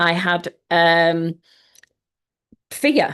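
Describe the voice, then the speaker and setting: She talks with a Yorkshire accent. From Yorkshire, northern England. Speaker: mindset coach. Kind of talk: online workshop. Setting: live video stream.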